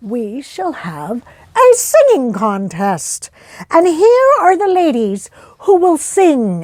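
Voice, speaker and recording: In a put-on character voice, a woman speaks at a very slow pace, her high voice swinging very widely in pitch. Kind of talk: public announcement. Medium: read story.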